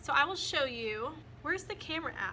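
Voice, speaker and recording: Raising and projecting her voice, a woman speaks high-pitched at a fairly quick pace. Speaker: first year teacher. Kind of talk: casual talk to camera.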